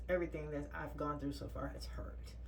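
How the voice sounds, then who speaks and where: Audible room echo mixes with noticeable background noise in the recording. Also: woman. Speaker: vlogger sharing orthodontic treatment. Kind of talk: casual vlog update. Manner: frequent filler ums.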